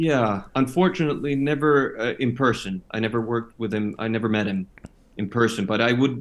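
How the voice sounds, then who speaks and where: A man with a Finnish accent speaks at a moderate pace. His pitch is medium, with ordinary variation. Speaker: actor. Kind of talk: interview. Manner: halting.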